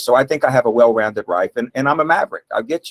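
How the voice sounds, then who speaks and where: The sound is dry and close, with no echo. Speech comes at a very fast pace with lively intonation. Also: man. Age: 60s. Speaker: political candidate, trial attorney. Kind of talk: endorsement interview. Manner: halting.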